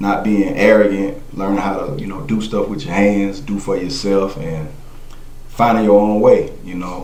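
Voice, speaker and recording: In a South Carolina accent, a man with a fairly low pitch talks at a fairly slow pace with big swings in loudness, amid noticeable background noise and audible room echo. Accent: Southern US (South Carolina). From South Carolina (Monetta, rural). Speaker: podcast guest. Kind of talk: casual interview.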